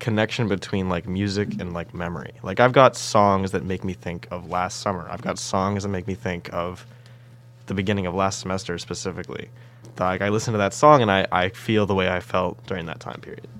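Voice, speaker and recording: A plain, everyday voice, a man at a fairly low pitch and a fairly quick pace. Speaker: engineering undergraduate student. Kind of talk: casual chat.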